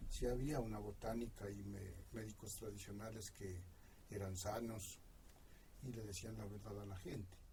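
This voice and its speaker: This voice has a dark, mellow tone with vocal fry, fairly even intonation and a moderate pace. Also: man, fairly low pitch for a man. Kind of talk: oral history interview answer. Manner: nostalgic.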